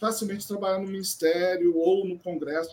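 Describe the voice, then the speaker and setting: Ordinary pitch variation and a moderate pace in a man's speech. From born in France, raised abroad (France, USA) by Brazilian diplomat family. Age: 50s. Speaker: civil servant, former hotel manager. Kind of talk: interview conversation.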